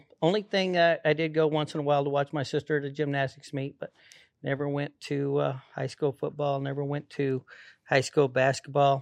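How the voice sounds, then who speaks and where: Speaking at a moderate pace, a man with a fairly high voice has an American accent. The sound is dry and close with no echo, over a quiet background. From Colorado, US. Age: 60s. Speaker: rodeo cowboy. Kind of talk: casual interview.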